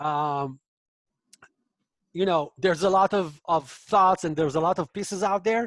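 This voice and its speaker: In a dry, close sound with no echo, the speaker uses a non-native accent and talks at a moderate pace with long, frequent pauses. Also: man, high pitch for a man, ordinary pitch variation. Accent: foreign. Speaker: professor and author on extremism. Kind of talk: online book talk Q&A. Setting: video call webinar. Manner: hesitant, many fillers.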